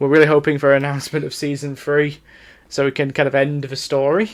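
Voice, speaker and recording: A man speaks with a Yorkshire accent. His pitch is fairly high. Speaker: anime podcast co-host. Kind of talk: casual podcast discussion. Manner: halting, many fillers and restarts.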